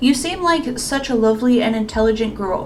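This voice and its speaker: Delivered at a moderate pace with ordinary pitch variation, the speech has audible room echo and noticeable background noise. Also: woman. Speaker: YouTuber. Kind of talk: casual Q&A monologue. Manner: halting.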